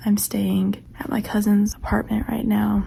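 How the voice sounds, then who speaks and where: A female speaker keeps a moderate tempo while clear noise sounds behind her. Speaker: book vlogger. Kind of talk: casual vlog monologue. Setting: cousin's apartment at night.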